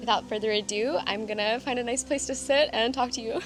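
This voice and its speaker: With music in the background, a woman with an American accent speaks very fast at a fairly high pitch with fairly even intonation. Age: 20s. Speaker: vlogger and small business owner. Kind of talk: casual vlog talk to camera.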